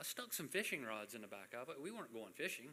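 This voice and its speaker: A man talks at a fairly quick pace in a bright, sharp tone with lively intonation. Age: 60s. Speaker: boating safety presenter. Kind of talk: training presentation. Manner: casual, conversational.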